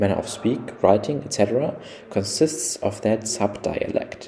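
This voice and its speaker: Noticeable background noise surrounds a man talking at a fairly low pitch. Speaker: computer scientist. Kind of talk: technical explainer narration.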